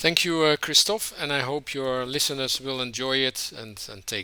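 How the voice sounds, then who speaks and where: Lively intonation marks this moderately paced speech in a Dutch accent. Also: man. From Netherlands. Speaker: trade union leader. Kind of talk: podcast interview. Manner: hesitant, many filler words.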